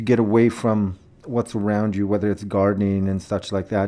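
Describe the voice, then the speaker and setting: This man has a dark, mellow tone and a Canadian prairie accent. He talks at a moderate pace. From Saskatchewan, Canada (Saskatoon). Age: 40s. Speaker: filmmaker and photographer. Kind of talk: interview.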